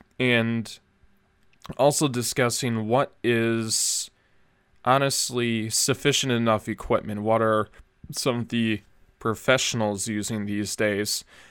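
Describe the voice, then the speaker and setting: Speaking in a Minnesota accent, this voice moves at a very slow pace with a monotone, flat intonation and long, frequent pauses. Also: man, medium pitch for a man. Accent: Upper Midwest American (Minnesota). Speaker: podcast host. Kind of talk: solo monologue, casual podcast talk. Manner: casual with frequent fillers and false starts.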